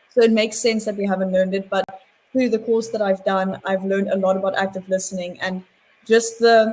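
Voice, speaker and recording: A woman speaks in a somewhat breathy, medium-pitched voice. Her intonation stays monotone and flat. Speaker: psychology student. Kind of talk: webinar panel discussion. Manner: fast.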